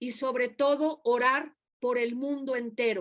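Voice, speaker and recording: A woman talks in a high pitch. The intonation remains fairly even. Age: 60s. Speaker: preacher. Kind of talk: sermon.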